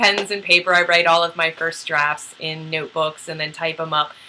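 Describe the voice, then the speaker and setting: Over noticeable background noise, a woman speaks in an animated tone at a moderate pace. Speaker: novelist and video host. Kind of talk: casual vlog monologue. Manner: loud.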